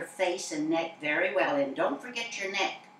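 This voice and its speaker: Fairly low in pitch and with ordinary pitch variation, a woman is heard over noticeable background noise. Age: 80s+. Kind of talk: interview answer.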